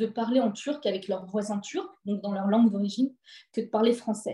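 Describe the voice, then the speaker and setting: Here a woman speaks with a dark, mellow tone and a fairly high pitch. Her voice is somewhat breathy, with ordinary pitch variation. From France, housing estate (cité). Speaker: author. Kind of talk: interview. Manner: halting.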